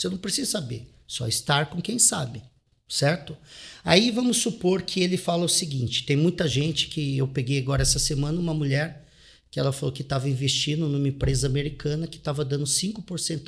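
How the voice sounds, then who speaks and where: A man, somewhat breathy, at a fairly quick pace with lively intonation, in a very clean recording with a silent background. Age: 40s. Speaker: real estate investor and author. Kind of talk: interview.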